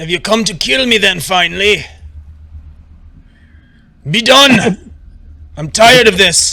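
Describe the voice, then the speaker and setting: Putting on a gruff character voice, a man speaks high for a man and fairly slowly, with long, frequent pauses. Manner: weary, resigned, defiant.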